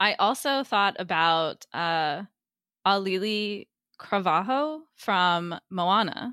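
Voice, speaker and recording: A woman's bright, sharp tone at medium pitch, very slow and lively in intonation, with a dry, close sound and no echo. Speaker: book club podcast host. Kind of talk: casual chat. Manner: animated.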